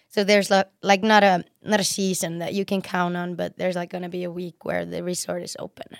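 Monotone, flat intonation at a fairly quick pace, with big swings in loudness and an Icelandic accent, on a very clean recording with a silent background. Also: woman, medium pitch for a woman. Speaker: professional snowboarder. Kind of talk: casual chat. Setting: studio. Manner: talkative.

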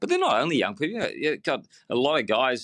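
Speaking at a very fast pace with an Australian accent, a man has a bright, sharp tone on a very clean recording with a silent background. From Melbourne, Australia. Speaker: engineer and business founder. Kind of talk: interview. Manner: halting, many repeated words.

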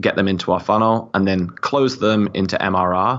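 Speaking at a moderate pace, a man with a British accent uses a fairly low pitch and ordinary pitch variation. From UK. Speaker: marketing executive. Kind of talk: interview, casual chat.

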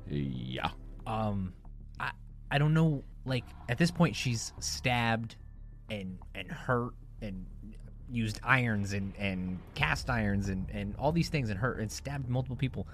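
A fairly low-pitched male voice with very wide pitch swings, a fairly slow pace and long, frequent pauses. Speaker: podcast co-host. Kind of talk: casual banter.

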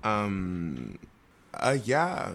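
A man with an American accent and vocal fry. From Minnesota. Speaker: singer. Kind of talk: casual chat. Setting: home. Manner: animated.

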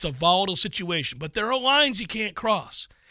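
A man's raised, projected voice, high in pitch with very wide swings, bright and sharp in tone, at a fairly quick pace, dry and close with no echo on a very clean recording with a silent background. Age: 50s. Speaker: sports radio host. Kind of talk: casual chat.

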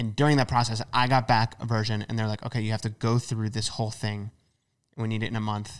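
A man with an American accent, medium pitch and monotone, flat intonation at a very fast pace, on a very clean recording with a silent background. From United States. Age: 20s. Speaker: YouTuber and author. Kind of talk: casual interview chat.

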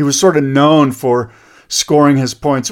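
Here a man with an American accent and an ordinary speaking voice talks at a moderate pace, his pitch fairly high. The recording is very clean, with a silent background. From USA. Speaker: surf podcast host. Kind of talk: casual chat. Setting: studio.

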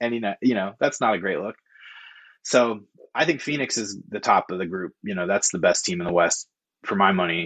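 Speaking at a fairly quick pace with an American accent, a man uses an unremarkable speaking voice, fairly low in pitch with ordinary pitch variation, in a dry, close sound with no echo. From Oregon, Corvallis. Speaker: freelance sports writer. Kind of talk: casual chat.

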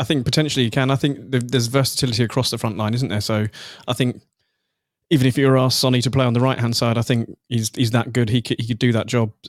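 A man's medium-pitched voice at a very fast pace, with fairly even intonation, on a very clean recording with a silent background. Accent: southern English. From southern England. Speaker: football website editor and Tottenham fan. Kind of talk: casual chat.

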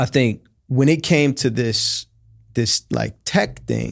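Recorded very cleanly against a silent background, a man with an American accent speaks at a very slow pace and medium pitch, with vocal fry. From Oakland, California. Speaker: tech company founder and CEO. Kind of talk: interview.

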